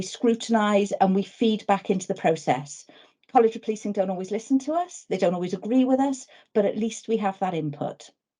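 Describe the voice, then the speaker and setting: A dark, mellow tone, somewhat breathy, at a fairly quick pace against a quiet background. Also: woman. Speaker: webinar presenter on police welfare. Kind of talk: webinar presentation. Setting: video call. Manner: fast.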